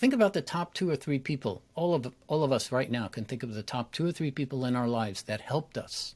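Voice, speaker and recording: In a very clean recording with a silent background, a man at a medium pitch races along at a very fast pace with lively intonation and hardly any pauses. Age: 60s. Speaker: public speaking coach. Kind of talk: interview conversation.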